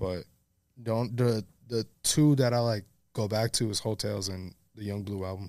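A speaker with a New York accent talks at a moderate pace with fairly even intonation and long, frequent pauses. The recording is very clean, with a silent background. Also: man, fairly low pitch for a man. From New York City, the Bronx. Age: 20s. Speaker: photographer. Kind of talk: casual chat. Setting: studio.

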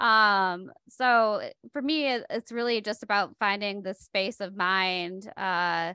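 A woman with an American accent speaks at a very slow pace and a medium pitch, with ordinary pitch variation. Her tone is bright and sharp, the background quiet, and the sound dry and close with no echo. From Michigan, US. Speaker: poet and author. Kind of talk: casual interview. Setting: video call. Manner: laughs often, conversational.

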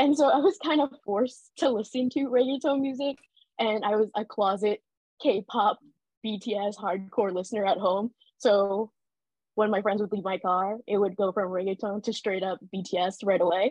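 Speaking at a moderate pace and medium pitch with ordinary pitch variation, a woman has a plain, everyday voice. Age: 20s. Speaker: fan event organizer. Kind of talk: casual chat. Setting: video call.

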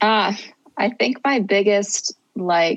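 A woman's medium-pitched voice at a fairly slow pace, with a Midwestern American accent. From US Midwest, Cincinnati, Ohio. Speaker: tour manager. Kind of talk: interview.

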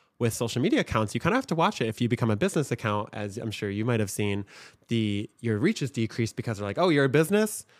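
A man's medium-pitched voice with an American accent, lively intonation and a very fast pace, on a very clean recording with a silent background. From Michigan. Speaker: TikTok creator and agency owner. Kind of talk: casual interview chat.

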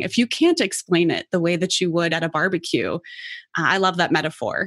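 A woman with an American accent talks at a moderate pace in a normal speaking voice, medium in pitch with lively intonation, with a dry, close sound and no echo. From US Midwest, Cincinnati. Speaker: podcast host, startup founder. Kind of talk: interview conversation.

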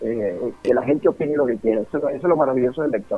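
A man talks at a very fast pace with a Venezuelan accent. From Venezuelan llanos, Guárico. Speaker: writer and poet. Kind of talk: radio interview.

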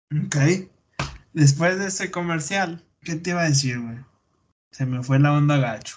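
Somewhat breathy and fairly high-pitched, a man speaks with long, frequent pauses. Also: ordinary pitch variation, fairly slow pace. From Durango, Mexico. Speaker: podcaster. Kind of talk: casual chat.

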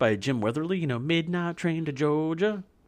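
In a very clean recording with a silent background, a man talks at a fairly quick pace. He has an ordinary speaking voice, fairly high in pitch, with lively intonation. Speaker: podcast host. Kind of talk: casual chat.

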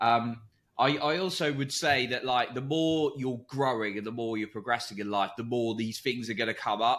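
Pitch varies in an ordinary way, at a moderate pace, in a plain, everyday voice. The recording is very clean, with a silent background. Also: man, medium pitch for a man. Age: 30s. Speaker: confidence and mindset coach. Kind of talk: casual interview chat.

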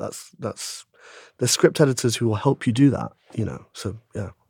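This man speaks with a London accent at a medium pitch, with ordinary pitch variation. The recording is very clean, with a silent background. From London, Shepherd's Bush. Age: 30s. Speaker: screenwriter and actor. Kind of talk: casual interview. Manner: animated.

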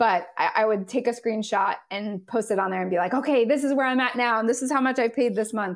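A woman with a Californian accent and a fairly high pitch talks at a very fast pace, with hardly any pauses. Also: ordinary pitch variation. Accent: General American (Californian). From Southern California. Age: 30s. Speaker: nurse. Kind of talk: interview.

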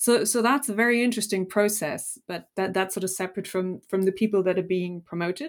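A woman with a German accent talks at a very fast pace with ordinary pitch variation, recorded very cleanly against a silent background. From Germany. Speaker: business historian, professor. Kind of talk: interview.

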